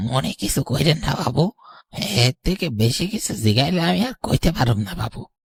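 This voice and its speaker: A man uses a raspy, put-on character voice at a medium pitch. His pace is moderate and his pitch swings very widely. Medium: audio drama. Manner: folksy, deferential, addresses listener as babu.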